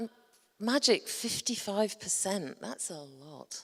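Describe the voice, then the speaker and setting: A woman with a Yorkshire accent, her fairly high pitch rising and falling in very wide swings. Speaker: conference presenter. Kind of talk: presentation to a conference audience. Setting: stage with audience.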